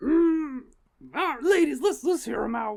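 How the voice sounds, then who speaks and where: This put-on character voice is raspy and high-pitched, delivered at a moderate pace. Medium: actual play.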